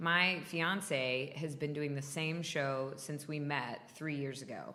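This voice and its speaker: A woman speaks loudly at a very slow pace, her very deep, low pitch paired with a bright, sharp tone. Her intonation is fairly even, and audible room echo fills the space. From US South, North Florida. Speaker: stage and TV actor. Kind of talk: interview.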